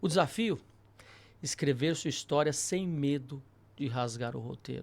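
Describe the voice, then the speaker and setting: A man with a fairly high voice is captured on a very clean recording with a silent background. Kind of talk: announcer-like broadcast.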